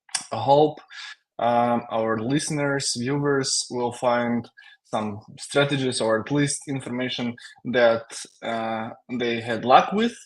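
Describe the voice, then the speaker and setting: Speaking in a Russian accent, a man talks at a very slow pace with fairly even intonation. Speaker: tech company CTO, software engineer. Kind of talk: live webinar interview. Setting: live stream. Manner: halting, many fillers.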